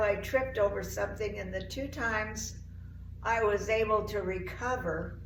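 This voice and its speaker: The voice has an American accent. Noticeable background noise is present. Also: woman. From Oregon, USA. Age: 80s+. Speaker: CrossFit member. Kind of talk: interview answer.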